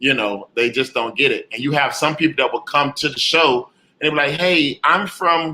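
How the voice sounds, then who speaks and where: With an American accent, a man speaks at a moderate pace in a fairly high pitch, his tone bright and sharp and his pitch variation ordinary. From Jacksonville, Florida, US South. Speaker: comedian. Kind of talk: interview. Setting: video call.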